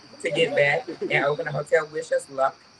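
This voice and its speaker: With noticeable background noise behind her, a woman with a Georgia accent speaks at a moderate pace with lively intonation. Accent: Southern US, Georgia. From US South, rural Georgia. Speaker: storyteller. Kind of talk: live storytelling. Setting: stage with audience. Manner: animated.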